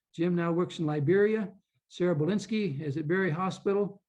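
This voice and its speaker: This man has a high voice for a man, talks at a fairly quick pace with fairly even intonation, and the background is quiet. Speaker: physician and health ministry leader. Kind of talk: conference presentation. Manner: fast.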